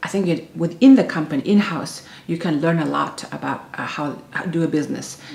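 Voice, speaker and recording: With noticeable background noise behind her, a woman talks at a fairly quick pace with hardly any pauses and ordinary pitch variation. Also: fairly low pitch for a woman. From Inner Mongolia, China; moved to Beijing at ten. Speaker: intercultural management consultant. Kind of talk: interview. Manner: halting, with many fillers and repetitions.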